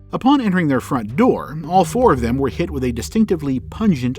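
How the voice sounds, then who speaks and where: Music plays in the background as a man speaks. He talks fairly quickly with very wide pitch swings. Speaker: podcast narrator. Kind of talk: documentary history narration. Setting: home recording booth.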